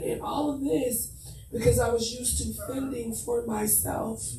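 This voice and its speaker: A woman's voice with audible echo from the room. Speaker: conference host. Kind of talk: panel discussion. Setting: conference panel.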